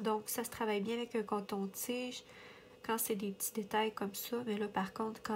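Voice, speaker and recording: The woman's voice is medium in pitch and somewhat breathy. She talks at a fairly slow pace with monotone, flat intonation. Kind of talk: casual coloring chat to camera.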